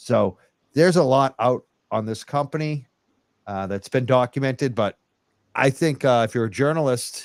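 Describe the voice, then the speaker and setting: With a Northern US accent, a man speaks at a moderate pace and medium pitch, his pitch varying in an ordinary way, with long, frequent pauses and a dry, close sound with no echo. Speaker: podcast host. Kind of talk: live podcast chat.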